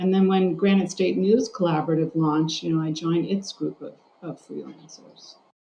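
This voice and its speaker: A woman's voice has a dark, mellow tone and is somewhat breathy. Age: 60s. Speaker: journalist and journalism instructor. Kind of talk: interview.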